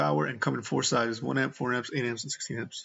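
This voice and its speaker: A man talks at a very fast pace in a medium pitch, with vocal fry. His intonation is lively. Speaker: gaming streamer. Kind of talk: let's play commentary; reading aloud. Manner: slurring.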